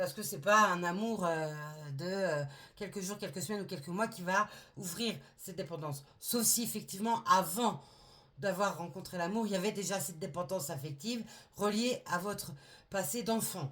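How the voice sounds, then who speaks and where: Long, frequent pauses break up a woman's speech at a moderate pace. Her medium pitch shows ordinary pitch variation. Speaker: tarot reader. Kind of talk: tarot reading. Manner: halting.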